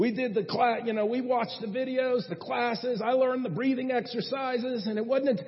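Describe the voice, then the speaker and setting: A man talks at a very fast pace. His pitch is extremely high. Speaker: traveling preacher. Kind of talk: sermon. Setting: church.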